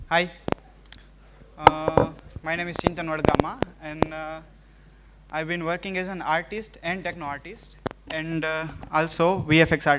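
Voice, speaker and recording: With an Indian accent, a man talks in a fairly high, monotone, flat voice, with big swings in loudness, long and frequent pauses, and noticeable background noise. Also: moderate pace. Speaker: artist giving a live demo. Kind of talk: live tech demo to students. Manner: halting, many fillers.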